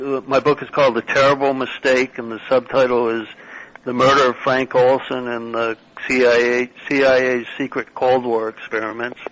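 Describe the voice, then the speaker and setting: A man's monotone, flat voice against noticeable background noise. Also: medium pitch for a man, moderate pace. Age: 60s. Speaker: author. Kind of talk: interview. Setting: phone call. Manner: halting.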